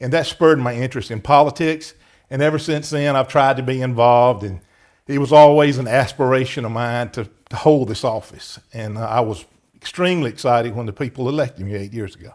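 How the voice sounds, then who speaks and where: A man with a Southern US accent talks at a fairly quick pace, at medium pitch with ordinary variation. His loudness swings widely, on a very clean recording with a silent background. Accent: Southern US (Georgia). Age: 60s. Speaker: county commissioner. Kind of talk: interview.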